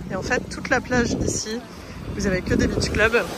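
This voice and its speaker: In a room with audible echo and noticeable background noise, a woman speaks at a fairly slow pace. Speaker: travel vlogger. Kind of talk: casual vlog walkthrough. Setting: outdoors on a beach.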